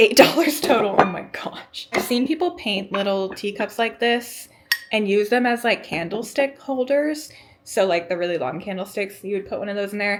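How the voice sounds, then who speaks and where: Upbeat tone and lively intonation from a woman at a fairly high pitch, moderate pace, over noticeable background noise. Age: 20s. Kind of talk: casual vlog talk to camera. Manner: chatty, upbeat.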